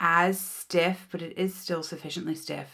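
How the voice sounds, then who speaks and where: A woman with an American accent speaks at a moderate pace in a fairly low pitch. Her tone is bright and sharp, with vocal fry. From United States. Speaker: beauty youtuber. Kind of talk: casual product unboxing chat.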